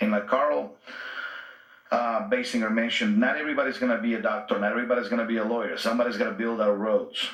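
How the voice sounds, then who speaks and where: A man with a Spanish accent at a very fast pace, medium pitch and ordinary pitch variation, amid noticeable background noise and audible room echo. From Guatemala. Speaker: union organizer. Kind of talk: radio interview.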